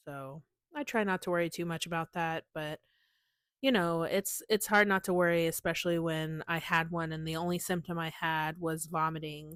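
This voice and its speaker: On a very clean recording with a silent background, a woman with an ordinary speaking voice talks at a moderate pace and fairly low pitch, her intonation fairly even and the sound dry and close with no echo. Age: 30s. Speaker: podcast host. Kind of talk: personal monologue. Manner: casual, conversational.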